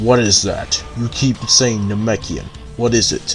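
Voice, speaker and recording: A man's put-on character voice at medium pitch and a fairly slow pace, with clear music in the background. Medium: read story.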